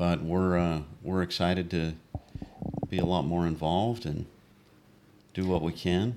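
With an American accent, a man talks at a fairly slow pace in a very deep, low voice, his intonation fairly even and broken by long, frequent pauses. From Utah. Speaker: army veteran, church member. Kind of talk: casual interview. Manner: reserved, few words.

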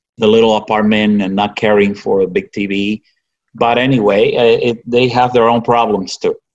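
A man with a Spanish accent speaks at medium pitch and a fairly slow pace. His intonation is monotone and flat. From Cuba. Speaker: physician. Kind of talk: interview.

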